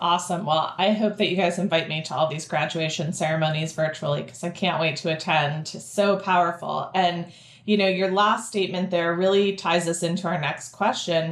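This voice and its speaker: With an unremarkable speaking voice, a woman talks at a fairly low pitch and a fairly quick pace, with fairly even intonation and hardly any pauses. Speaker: podcast host, education interviewer. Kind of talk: panel interview.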